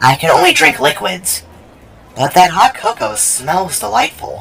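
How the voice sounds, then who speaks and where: A man puts on a character voice, pitched high for a man. He moves at a moderate pace with very wide pitch swings. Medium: audio drama. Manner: faint, soft.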